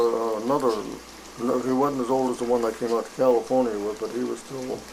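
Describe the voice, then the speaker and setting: Over noticeable background noise, a man with an American accent speaks in a monotone, flat intonation. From Wisconsin, USA. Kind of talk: interview answer. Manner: hesitant, rambling.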